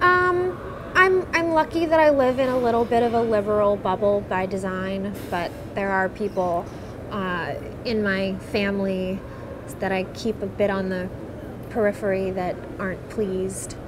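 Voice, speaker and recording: A woman speaks at a medium pitch with an American accent while noticeable background noise sounds behind her. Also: ordinary pitch variation, moderate pace. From eastern Pennsylvania, Bethlehem; Pennsylvania. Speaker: patient advocate, secular activist. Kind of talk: personal testimony interview. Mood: calm, reflective. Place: hall.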